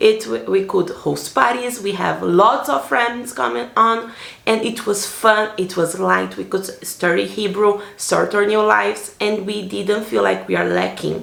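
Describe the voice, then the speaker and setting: A woman with a Brazilian accent at a fairly slow pace, amid audible room echo and noticeable background noise. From Brazil, Salvador, Bahia. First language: Portuguese. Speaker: vlogger. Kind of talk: personal vlog narration. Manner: casual, with fillers.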